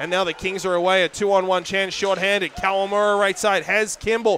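This man sounds energetic. Noticeable background noise can be heard behind him. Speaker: hockey play-by-play announcer. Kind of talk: live hockey play-by-play commentary, highlight reel. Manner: energetic, emphatic on goals.

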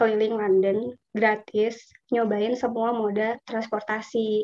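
Fairly slow, fairly high-pitched speech from a woman. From Indonesia. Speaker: scholarship alumna, urban planner. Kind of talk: casual webinar talk. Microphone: video call.

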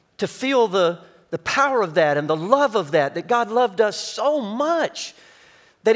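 The background stays quiet as this man talks at a moderate pace. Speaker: pastor. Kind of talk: sermon. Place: stage. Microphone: headset.

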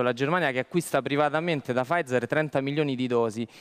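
Here a man talks at a very fast pace. His fairly high voice shows ordinary pitch variation. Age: young. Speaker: lawyer. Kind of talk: talk show discussion. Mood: critical, argumentative. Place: studio. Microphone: headset.

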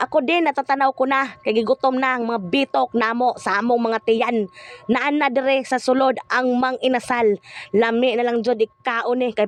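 A woman speaks at a high pitch and a moderate pace, her intonation fairly even. The sound is dry and close with no echo, though background noise is noticeable. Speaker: family vlogger. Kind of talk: casual vlog narration.

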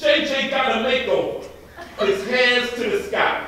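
A man uses a raised, projected voice at a very slow pace with very wide pitch swings. Strong room echo surrounds him. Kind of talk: comedic skit performance. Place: stage. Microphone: camera far.

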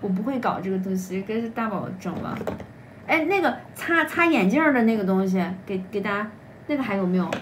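A woman speaks with lively intonation at a moderate pace. Light background noise is present. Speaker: livestream seller. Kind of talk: live-stream sales pitch. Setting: livestream. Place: home room. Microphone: phone near.

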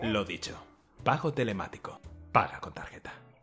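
A man does a raspy, put-on character voice at a medium pitch and a fairly quick pace. Faint music plays in the background. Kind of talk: TV commercial voice-over. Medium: fan dub.

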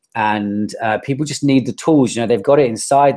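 A man speaks with a British accent and a dark, mellow tone. The background is quiet. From United Kingdom. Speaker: digital marketer and life coach. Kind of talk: interview answer. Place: home room. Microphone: earbuds.

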